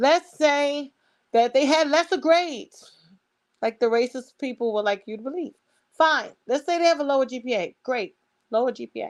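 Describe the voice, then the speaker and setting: A woman with a Brooklyn accent speaks at a moderate pace in an animated tone, her pitch high with ordinary variation and big swings in loudness. The recording is very clean with a silent background and a dry, close sound with no echo. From New York, Brooklyn. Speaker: online commentator. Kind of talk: opinion monologue.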